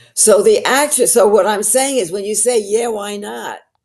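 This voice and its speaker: A woman talks at a fairly slow pace. She speaks with a New York accent. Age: 80s+. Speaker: actress and storyteller. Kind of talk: podcast interview answer. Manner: honest, colorful.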